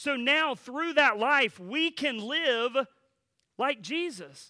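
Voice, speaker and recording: In a very clean recording with a silent background, a man uses a raised, projected voice with a bright, sharp tone, very wide pitch swings and a fairly slow pace. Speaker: pastor. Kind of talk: sermon. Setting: church. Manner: filler words, halting.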